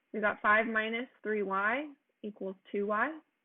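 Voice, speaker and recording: A woman is speaking here. Her voice sits at a medium pitch. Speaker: math teacher. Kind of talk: tutorial. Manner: fast; casual.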